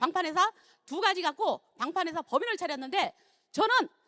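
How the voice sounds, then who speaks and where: A raised, projected voice comes at a moderate pace, the sound dry and close with no echo. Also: woman. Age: 60s. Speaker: network marketing distributor. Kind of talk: testimony.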